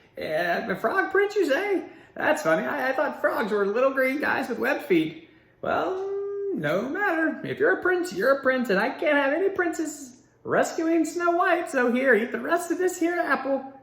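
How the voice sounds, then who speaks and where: A high-pitched, croaky put-on character voice talks at a moderate pace. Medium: read story.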